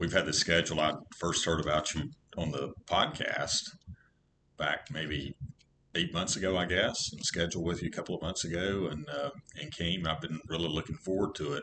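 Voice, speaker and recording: Very deep and low in pitch yet bright and sharp in tone, a man with an American accent speaks at a moderate pace with ordinary pitch variation. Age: 60s. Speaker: pool student. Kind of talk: casual interview chat.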